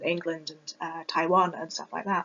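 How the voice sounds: A woman speaks with a British accent. Her pace is moderate. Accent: British, Received Pronunciation.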